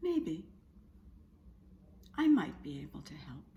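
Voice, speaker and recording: A woman's put-on character voice at a fairly slow pace. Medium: read story.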